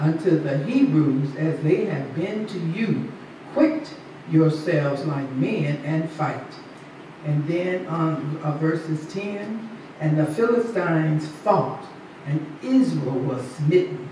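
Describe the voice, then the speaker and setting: Over light background noise and with audible room echo, a woman with a very deep, low pitch speaks at a very slow pace. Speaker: preacher. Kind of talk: sermon. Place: church.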